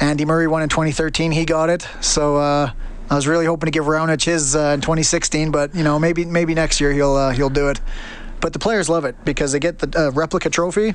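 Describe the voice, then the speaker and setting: Speech comes at a fairly quick pace with fairly even intonation. Noticeable background noise sits behind it. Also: man, fairly high pitch for a man, very even loudness. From Alberta, Canada (Stony Plain). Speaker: head groundsman at a tennis venue. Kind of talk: interview.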